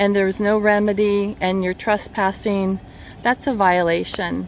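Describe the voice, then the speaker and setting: The woman talks at a fairly unhurried pace. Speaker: property owner vlogging a utility dispute. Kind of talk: casual vlog talking to camera. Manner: loud, raised voice.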